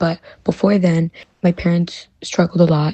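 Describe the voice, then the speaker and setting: A somewhat breathy, fairly low female voice with a Chicago accent at a moderate pace. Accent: Chicago American English. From US Midwest, Chicago. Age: 20s. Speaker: college student. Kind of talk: interview.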